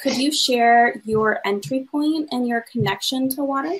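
The woman's tone is fairly bright.

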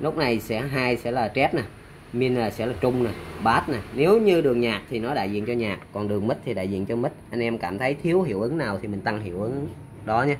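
A man at medium pitch speaks with lively intonation. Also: fairly quick pace.

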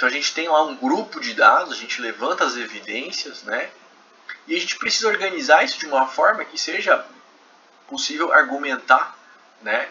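A man's voice with a Brazilian accent at a moderate pace, with big swings in loudness, long, frequent pauses and noticeable background noise. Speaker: professor. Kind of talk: lecture. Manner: conversational, frequent filler 'né'.

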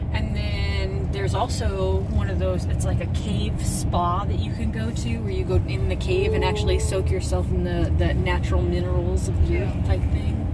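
A woman talks at a moderate pace with hardly any pauses. Loud background noise fills the recording. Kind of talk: casual vlog chat. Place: car. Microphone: phone near.

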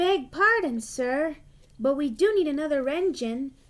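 A woman puts on a character voice with a high pitch. She talks at a moderate pace. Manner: quiet, hesitant, polite.

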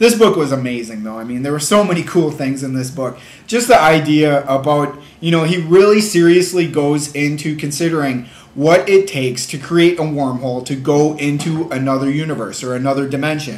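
With audible room echo, a man speaks fairly quickly. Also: ordinary pitch variation. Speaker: book reviewer. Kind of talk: casual vlog chat. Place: home room. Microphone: webcam.

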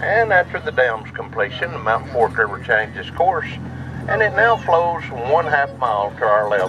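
A man speaks at a moderate pace with very wide pitch swings, against noticeable background noise. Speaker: train conductor tour guide. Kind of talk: tour commentary. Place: train.

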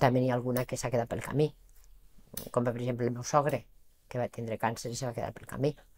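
Very fast and flat, a woman talks in a very deep, low pitch with big swings in loudness. Her monotone delivery stops often for long pauses. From Valencian Community. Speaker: charity association president. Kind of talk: TV interview. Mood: warm, earnest. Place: studio. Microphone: lapel.

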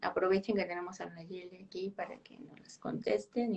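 A woman with a Mexican accent. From Mexico. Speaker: podcast host, biologist; podcast host. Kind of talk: interview. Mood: friendly, warm. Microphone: video call.

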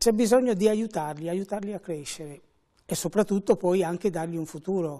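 A dark, mellow tone over a quiet background. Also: man. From Venice, Veneto, Italy; Veneto, Italy. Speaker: fashion school director. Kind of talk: TV interview. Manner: measured. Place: studio. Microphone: lapel.

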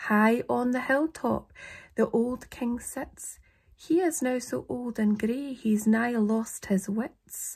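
In a Scottish accent, a woman speaks at a very slow pace. Her pitch is high with ordinary variation, against a quiet background. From Scotland. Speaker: poetry reader. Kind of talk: poetry reading. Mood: calm, slightly eerie. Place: home room. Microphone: phone near.

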